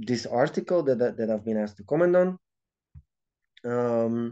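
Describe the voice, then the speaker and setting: The voice has a dark, mellow tone and a Dutch accent. Its pitch varies in an ordinary way against a quiet background. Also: man. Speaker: video commentator. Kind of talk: video reaction monologue. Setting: handheld camera recording. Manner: halting, many repetitions and fillers.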